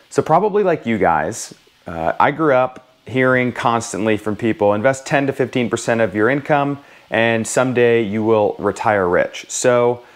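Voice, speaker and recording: A man's fairly slow delivery carries ordinary pitch variation. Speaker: personal finance vlogger. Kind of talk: casual vlog chat. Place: home room. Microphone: lapel.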